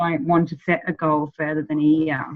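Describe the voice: A woman speaks at a moderate pace. Her pitch is low.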